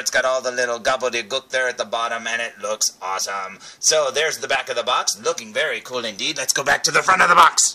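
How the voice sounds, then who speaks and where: Very fast speech with hardly any pauses and ordinary pitch variation, over noticeable background noise. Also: man. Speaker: toy reviewer. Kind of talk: product review. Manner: animated.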